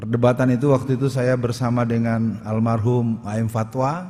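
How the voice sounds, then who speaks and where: A man with a dark, mellow tone speaks at medium pitch. His delivery is monotone and flat, at a moderate pace. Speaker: Islamic preacher / ustadz. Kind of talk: public lecture / speech on politics.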